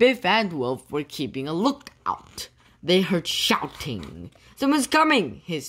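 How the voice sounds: The voice here is a natural reading voice. It stays that way throughout.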